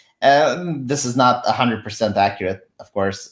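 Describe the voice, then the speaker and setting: A man's medium-pitched voice with lively intonation and a Romanian accent. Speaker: political commentary streamer. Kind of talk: live stream political chat. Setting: live stream with remote guest.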